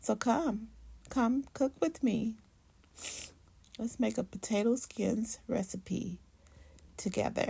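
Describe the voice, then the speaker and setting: Speaking at a very slow pace with long, frequent pauses, a woman with a fairly high pitch, ordinary pitch variation, a dark, mellow tone and vocal fry keeps very even loudness in a very clean recording with a silent background. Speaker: cooking channel host. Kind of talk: tutorial.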